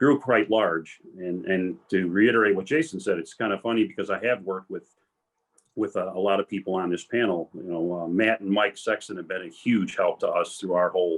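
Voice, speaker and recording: Using an ordinary speaking voice, a man talks at a fairly quick pace, his pitch fairly low with ordinary pitch variation. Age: 60s. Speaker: retired police commander and tow business owner. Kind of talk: career panel talk.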